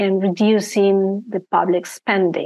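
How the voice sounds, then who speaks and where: A woman at a very slow pace, monotone and flat in intonation. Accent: Argentine. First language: Spanish. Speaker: risk management and ethics consultant. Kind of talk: interview. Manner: hesitant, many fillers.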